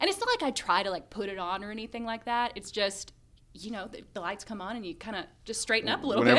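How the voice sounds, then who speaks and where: At a very fast pace, a woman talks with fairly high pitch and big swings in loudness. Noticeable background noise runs underneath. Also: fairly even intonation. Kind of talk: polished, smooth public radio voice. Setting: on-air radio. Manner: calm, measured, straightened up for air.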